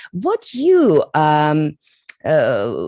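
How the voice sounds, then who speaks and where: This woman's pitch is very deep and low, her tone dark and mellow. The sound is dry and close with no echo. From Bosnia. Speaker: journalist. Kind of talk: interview. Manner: halting.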